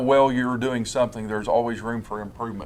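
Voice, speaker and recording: Monotone, flat intonation marks this man's medium-pitched voice. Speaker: school administrator. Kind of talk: interview. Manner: calm; halting.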